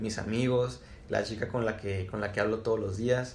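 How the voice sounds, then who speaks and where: A man's medium-pitched speech carries audible room echo. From Mexico, Chihuahua. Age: 20s. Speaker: community manager. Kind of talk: casual chat.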